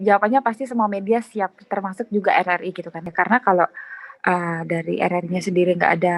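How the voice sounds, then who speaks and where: At a fairly quick pace, a woman speaks with a dry, close sound with no echo. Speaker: radio announcer. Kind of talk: interview. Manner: casual, filler-heavy.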